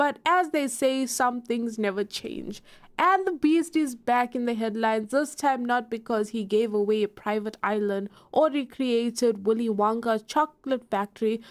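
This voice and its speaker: A woman with a South African accent, fairly high in pitch, with ordinary pitch variation and a fairly slow pace. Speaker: YouTube commentator. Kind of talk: online drama commentary. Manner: animated.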